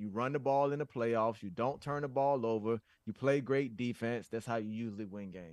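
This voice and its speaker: A man has a normal speaking voice, ordinary pitch variation and a moderate pace. The sound is dry and close with no echo, against a quiet background. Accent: American. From US South. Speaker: football analyst. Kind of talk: casual chat.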